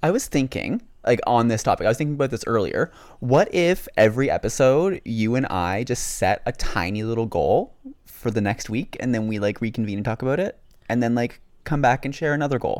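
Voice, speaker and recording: With lively intonation and a fairly quick pace, a man at a medium pitch speaks in a plain, everyday voice on a very clean recording with a silent background. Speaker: podcast co-host. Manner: chatty, playful.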